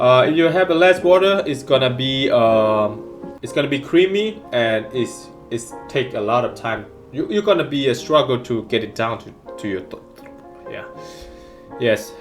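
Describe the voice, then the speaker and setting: A man with a non-native accent and a medium pitch speaks at a moderate pace with lively intonation. His loudness swings widely, with music in the background. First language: not English. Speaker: amateur cooking vlogger. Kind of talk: casual cooking tutorial to camera.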